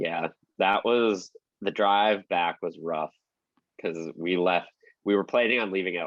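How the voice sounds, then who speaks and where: An American-accented man. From Minnesota. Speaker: country musician and podcast co-host. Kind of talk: casual chat.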